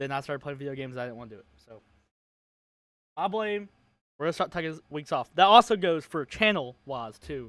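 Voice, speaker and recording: A man with a fairly high pitch, a fairly quick pace, lively intonation, big swings in loudness and long, frequent pauses, on a very clean recording with a silent background. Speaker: sports podcast host. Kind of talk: casual chat. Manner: quiet. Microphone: quieter than co-host.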